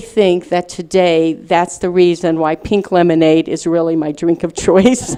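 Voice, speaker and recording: A woman with an American accent talks at a fairly slow pace. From US South, Little Rock, Arkansas. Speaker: speaker, writer. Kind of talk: lecture, personal testimony.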